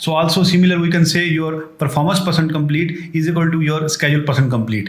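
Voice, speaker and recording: Amid audible room echo and noticeable background noise, a man with a fairly high pitch talks at a very fast pace. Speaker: software tutorial creator. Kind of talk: tutorial.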